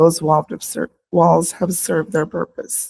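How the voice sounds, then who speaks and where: Someone with an American accent speaks at a moderate pace in a dry, close sound with no echo. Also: woman. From Yakima, Washington, US Pacific Northwest. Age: 60s. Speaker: paraeducator and union vice president making public comment. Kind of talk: prepared public comment speech. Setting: school board meeting. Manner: formal.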